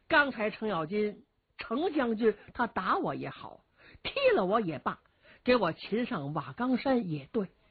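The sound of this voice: An unforced reading voice is what this clip features.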